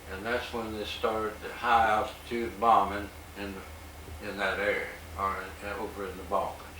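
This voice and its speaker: Speaking with an American accent, a man with a fairly low pitch keeps his intonation fairly even while his loudness swings widely, with noticeable background noise behind him. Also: moderate pace. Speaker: World War II veteran, former bomber pilot. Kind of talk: oral history interview answer. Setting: interview room.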